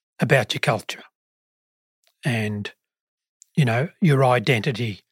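A man with a medium pitch speaks at a very slow pace, somewhat breathy. The sound is dry and close with no echo, on a very clean recording with a silent background. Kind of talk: podcast interview.

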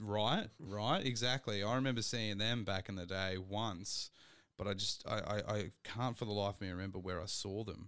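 An Australian accent at a moderate pace. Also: man, fairly low pitch for a man, fairly even intonation. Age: 20s. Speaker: podcast host. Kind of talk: casual chat.

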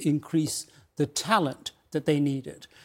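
A man with a fairly high pitch and a normal speaking voice talks at a moderate pace on a very clean recording with a silent background. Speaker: retired military officer. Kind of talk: TV panel interview. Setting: studio.

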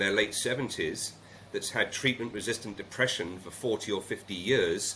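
With a British accent, a man speaks at a moderate pace in a bright, sharp tone and fairly even intonation. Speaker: retreat CEO. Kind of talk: interview. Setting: Jamaica, remote call.

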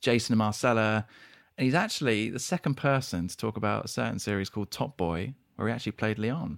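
Speaking at a very fast pace, a man talks in a British accent. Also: very clean recording, silent background. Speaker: podcast host. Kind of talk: casual interview chat.

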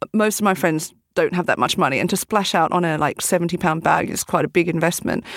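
A woman's fairly low voice, very fast pace, fairly even intonation. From Australia. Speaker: entrepreneur, bag designer. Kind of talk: casual interview chat. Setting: studio.

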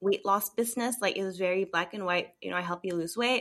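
This woman has a normal speaking voice at medium pitch with ordinary pitch variation. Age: 30s. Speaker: holistic wellness coach. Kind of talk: casual interview.

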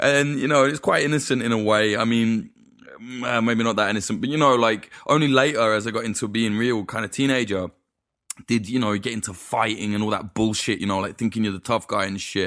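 A man speaks at a fairly quick pace with an East Midlands accent. His intonation stays fairly even. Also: medium pitch for a man. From East Midlands, England. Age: 20s. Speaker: documentary filmmaker. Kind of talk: casual chat.

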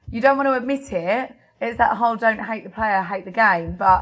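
A woman talks in a normal speaking voice at a fairly high pitch. Her intonation is lively. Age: 30s. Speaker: guest. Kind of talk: casual chat.

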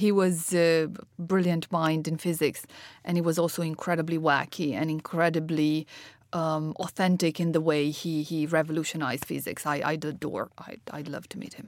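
A woman with a non-native accent speaks at a fairly low pitch with fairly even intonation. The recording is very clean with a silent background. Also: moderate pace. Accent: foreign, noticeably non-local. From Romania. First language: Romanian. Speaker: health startup founder and chief executive. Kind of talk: interview. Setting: studio.

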